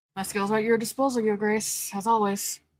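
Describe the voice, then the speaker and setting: A put-on character voice with monotone, flat intonation at a fairly quick pace. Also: woman, fairly high pitch for a woman. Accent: Southern US. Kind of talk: deferential.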